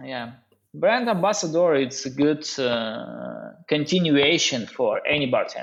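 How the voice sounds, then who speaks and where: A man with a Russian accent, a fairly high pitch and a fairly slow pace. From Russia, Norilsk in northern Siberia. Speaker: bartender and brand ambassador. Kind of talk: podcast interview. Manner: halting, many hesitations.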